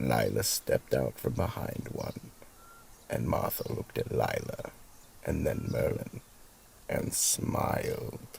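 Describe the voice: In a put-on character voice, a man talks at an extremely low pitch with vocal fry and a slightly mellow tone. He goes at a slow pace with long, frequent pauses, yet his intonation is lively.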